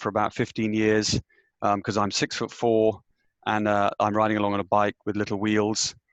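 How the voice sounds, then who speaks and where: Against a quiet background, a man with a British accent speaks at a moderate pace in a fairly low, monotone, flat voice, recorded dry and close with no echo. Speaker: business executive. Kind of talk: panel discussion.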